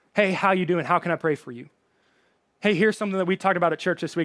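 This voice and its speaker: A man with a slight Southern US accent speaks in a high voice. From Alabama. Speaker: pastor. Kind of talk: sermon. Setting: online church service, live from worship center. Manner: informal, friendly.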